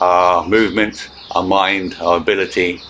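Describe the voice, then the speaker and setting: Noticeable background noise runs under the recording. A man speaks in a calm tone. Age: 70s. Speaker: qigong instructor. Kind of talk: instructional talk. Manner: calm, hesitant with fillers.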